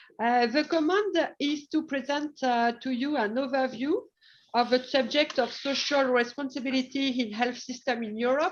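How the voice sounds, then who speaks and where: A woman with a high-pitched voice speaks in a French accent. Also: ordinary pitch variation, moderate pace. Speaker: hospital deputy director. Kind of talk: presentation. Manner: halting.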